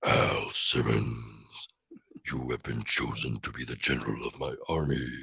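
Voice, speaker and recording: A man performs a put-on character voice that is raspy and very deep and low. He keeps a moderate pace. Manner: cartoonish, commanding.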